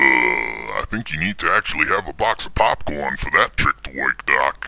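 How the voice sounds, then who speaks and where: A man's put-on character voice at a moderate pace. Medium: audio drama. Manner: blunt, slangy.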